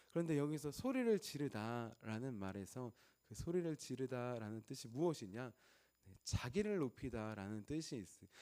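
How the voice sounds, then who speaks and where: With a dark, mellow tone and lively intonation, a man speaks at a medium pitch and a moderate pace. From Chungcheong, South Korea. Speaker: pastor. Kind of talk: sermon.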